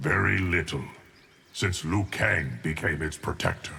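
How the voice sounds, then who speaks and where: Using a put-on character voice, a man speaks at a very deep, low pitch and a moderate pace with ordinary pitch variation. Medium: video game. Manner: cryptic, grave.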